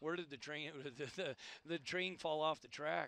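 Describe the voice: A man talks at a moderate pace with a fairly high pitch and vocal fry. His tone is fairly bright, and his pitch varies in an ordinary way.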